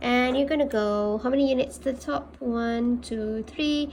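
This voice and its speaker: A woman with a Malaysian accent, high in pitch, with lively intonation. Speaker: maths teacher. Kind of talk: tutorial.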